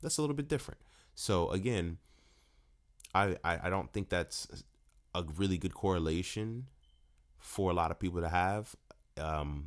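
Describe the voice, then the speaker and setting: This man's voice is very deep and low, with lively intonation and a moderate pace. He takes long, frequent pauses, and the recording is very clean with a silent background. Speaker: fitness trainer and podcast host. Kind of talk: solo podcast monologue. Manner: halting, self-correcting; casual.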